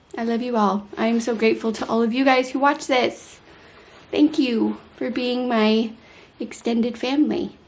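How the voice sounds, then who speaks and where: The voice is somewhat breathy, with a moderate pace and ordinary pitch variation. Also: woman. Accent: American. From United States. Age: 30s. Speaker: vlogger. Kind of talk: casual vlog to camera.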